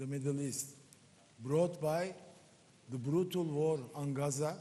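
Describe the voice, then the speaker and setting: A man with a Turkish accent speaks fairly slowly in a dark, mellow tone with ordinary pitch variation. Audible room echo surrounds his voice. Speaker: member of parliament, panelist. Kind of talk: panel discussion.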